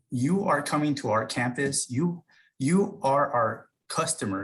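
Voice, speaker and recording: This man's somewhat breathy voice sits at a fairly high pitch and moves with lively intonation. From US, immigrant family. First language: not English. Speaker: university staff member. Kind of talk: panel talk.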